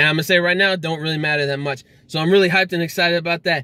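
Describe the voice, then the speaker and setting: With a fairly even intonation, a man speaks in a high voice, the sound dry with no echo. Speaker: anime reviewer. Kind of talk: casual vlog chat. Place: car. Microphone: phone near.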